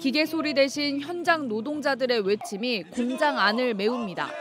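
Music plays in the background while the speech moves at a fairly slow pace. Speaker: news reporter. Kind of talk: scripted narration.

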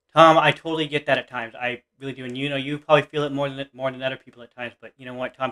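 A man speaks at a very fast pace with hardly any pauses. The background is quiet. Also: big swings in loudness. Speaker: reaction video youtuber. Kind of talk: reaction video, casual chat. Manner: excitable, gushing. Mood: enthusiastic, supportive. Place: home room. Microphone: webcam.

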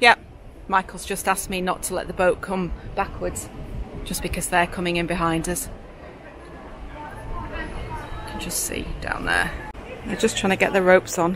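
With noticeable background noise but a dry sound with no echo, a woman speaks at a moderate pace, her loudness swinging widely, with long, frequent pauses. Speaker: boat vlogger. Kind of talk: casual vlog chat. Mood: concerned, watching another boat. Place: boat. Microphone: phone near.

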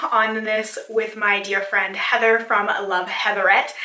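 The speaker is a woman, talking at a moderate pace. Her voice has audible room echo. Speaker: beauty vlogger. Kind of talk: casual vlog chat. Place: home room.

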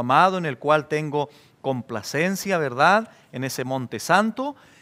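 With lively intonation and a fairly high pitch, a man talks at a fairly slow pace. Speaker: pastor. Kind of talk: expository sermon. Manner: measured, earnest, teaching. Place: studio. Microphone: headset.

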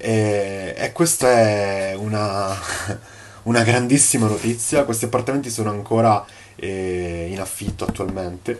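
Over light background noise, a man with a fairly low pitch and ordinary pitch variation talks at a fairly slow pace. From Sicily, Palermo. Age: 20s. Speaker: course student, property manager. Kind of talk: testimonial. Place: home room. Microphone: phone near.

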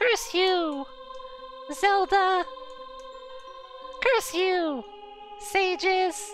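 Over clear music in the background, a squeaky, extremely high-pitched put-on character voice speaks at a very slow pace with long, frequent pauses. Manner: furious, cursing.

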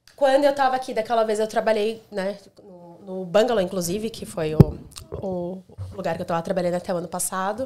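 Over noticeable background noise, a woman talks at a fairly quick pace, her loudness swinging widely and her pitch varying in an ordinary way. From Brazil. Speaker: hospitality manager; podcast guest. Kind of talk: casual chat. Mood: relaxed, chatty. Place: home room. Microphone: studio mic.

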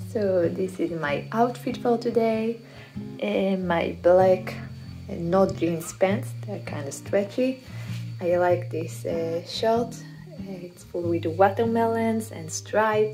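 At a very slow pace, the speech rises and falls sharply in loudness over clear music in the background. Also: woman, very deep, low pitch for a woman. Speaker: travel vlogger. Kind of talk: casual vlog chat. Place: home room. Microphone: phone near.

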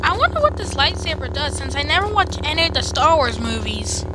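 A put-on character voice at a very fast pace against loud background noise. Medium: dub.

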